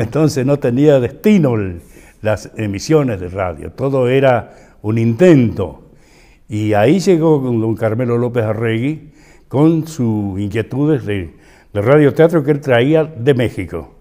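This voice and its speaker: With lively intonation and a dark, mellow tone, a man speaks at a fairly slow pace and medium pitch. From San Juan, Argentina. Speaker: actor, radio host, announcer. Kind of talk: interview answer.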